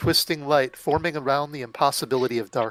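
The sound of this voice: With fairly even intonation, the reading voice stays unforced.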